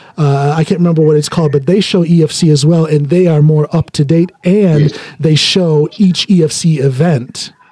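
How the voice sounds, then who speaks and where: A man speaks in a normal speaking voice at a moderate pace, his fairly high pitch held in fairly even intonation with hardly any pauses. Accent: American. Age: 50s. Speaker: podcast host, powerlifter. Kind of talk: casual interview.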